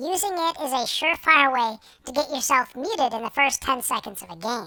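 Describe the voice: A woman puts on a character voice pitched high. She talks at a fairly quick clip.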